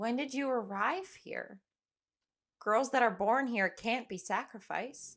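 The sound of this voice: On a very clean recording with a silent background, a woman uses a put-on character voice at a fairly high pitch and a slow pace. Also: ordinary pitch variation, fairly bright tone.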